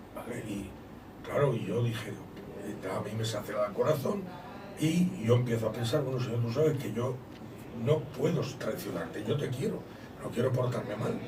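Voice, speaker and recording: Amid noticeable background noise and audible room echo, a man speaks at a medium pitch and a moderate pace, with long, frequent pauses. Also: ordinary pitch variation. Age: 60s. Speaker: visiting preacher. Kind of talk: testimony.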